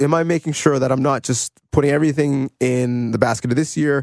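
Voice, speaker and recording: Speaking at a fairly quick pace, a man has a normal speaking voice and a fairly high pitch. The sound is dry and close, with no echo. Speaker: sports podcast host. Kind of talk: casual sports debate.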